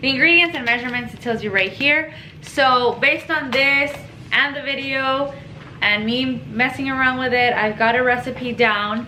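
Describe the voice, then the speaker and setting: Raising and projecting her high voice, a woman speaks at a moderate pace over noticeable background noise and audible room echo. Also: ordinary pitch variation. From Mexico. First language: Spanish. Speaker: home cooking vlogger. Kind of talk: cooking tutorial. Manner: casual, chatty.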